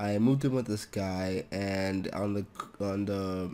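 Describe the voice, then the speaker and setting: This man's voice sits fairly low in pitch. It has a dark, mellow tone. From Toronto, Canada. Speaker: programming tutor YouTuber. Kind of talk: casual vlog update. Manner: monotone; hesitant, many fillers.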